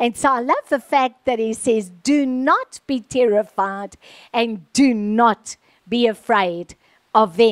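Against a quiet background, the speaker talks at a very slow pace with ordinary pitch variation. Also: woman. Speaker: preacher. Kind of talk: sermon. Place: stage. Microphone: handheld.

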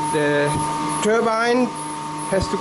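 Someone speaks at a fairly slow pace over loud background noise. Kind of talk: tour explanation. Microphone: phone near.

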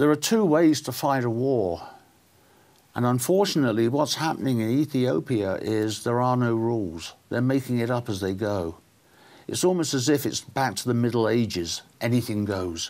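Speaking with a southern English accent, a man keeps a moderate pace and lively intonation. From southern England. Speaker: political talk show host. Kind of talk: interview. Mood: serious, concerned. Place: studio. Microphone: lapel.

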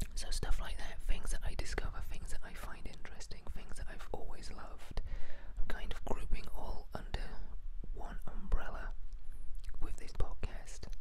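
Through loud background noise, a soft-spoken man whispers at a moderate pace with a dry sound and no echo. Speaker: YouTube channel host. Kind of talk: casual vlog chat. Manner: soft close-mic whisper. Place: home room. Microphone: handheld.

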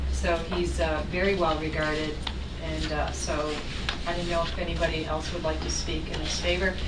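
Loud background noise accompanies a woman talking at a moderate pace. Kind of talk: meeting chairing remarks. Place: meeting room.

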